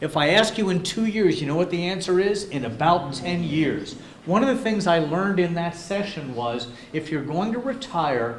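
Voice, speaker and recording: The speech moves at a moderate pace with lively intonation. Audible room echo and noticeable background noise surround it. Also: man. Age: 60s. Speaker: business speaker. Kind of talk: workshop presentation.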